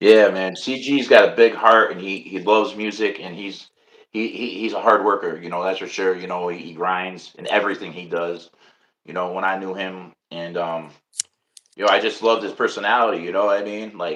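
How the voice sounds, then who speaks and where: In a New York accent, a man speaks fairly quickly at a fairly low pitch. His intonation stays fairly even while his loudness swings widely. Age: 50s. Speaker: podcast host. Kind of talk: casual interview.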